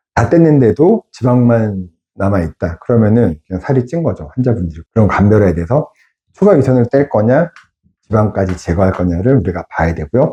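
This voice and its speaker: A man speaks at a fairly quick pace in a fairly low, somewhat breathy voice with a dark, mellow tone and very wide pitch swings. The sound is dry and close with no echo, over a quiet background. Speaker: surgeon. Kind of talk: medical explainer video. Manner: conversational, explanatory.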